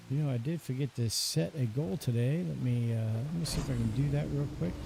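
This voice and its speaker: Against noticeable background noise, a man with a medium pitch speaks in a calm, relaxed tone with lively intonation at a fairly quick pace. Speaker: gaming streamer. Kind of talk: live stream commentary with chat. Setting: live stream. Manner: calm, relaxed pace.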